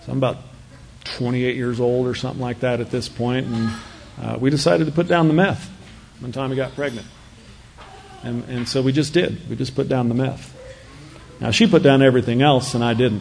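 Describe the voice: A man with a medium-pitched voice, a slightly mellow tone and vocal fry talks at a moderate pace with fairly even intonation. He leaves long, frequent pauses, and the room echo is audible.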